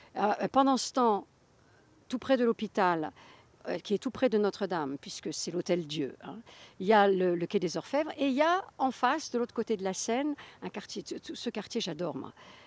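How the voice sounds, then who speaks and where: Through a dry, close sound with no echo, a woman speaks at a medium pitch and moderate pace, her pitch swinging very widely. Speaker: author. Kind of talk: interview. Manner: halting.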